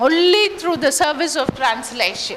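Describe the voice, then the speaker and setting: In a Tamil accent, a woman with a high pitch uses a raised, projected voice and lively intonation, with audible room echo and noticeable background noise. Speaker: English lecturer. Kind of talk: lecture.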